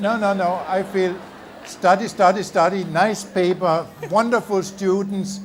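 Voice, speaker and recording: Over noticeable background noise, a man speaks fairly slowly in a high pitch with monotone, flat intonation. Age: 70s. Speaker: visiting chemistry professor. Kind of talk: audience Q&A. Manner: hesitant, with filler words.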